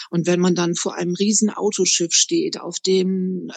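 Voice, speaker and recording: A woman's medium-pitched, monotone, flat delivery at a fairly slow pace, in a dry, close sound with no echo. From northern Germany, Bremerhaven. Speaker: tour guide. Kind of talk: interview.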